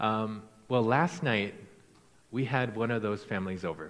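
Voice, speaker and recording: With a Midwestern American accent, a man of medium pitch talks amid audible room echo. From US Midwest, Iowa. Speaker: missionary. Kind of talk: sermon. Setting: church.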